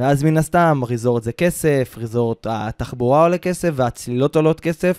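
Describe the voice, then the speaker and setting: Captured in a very clean recording with a silent background and a dry, close sound with no echo, a man with an unremarkable speaking voice and fairly high pitch talks at a moderate pace with ordinary pitch variation and hardly any pauses. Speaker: podcast host, travel consultant. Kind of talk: casual chat. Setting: studio, Ramat Gan.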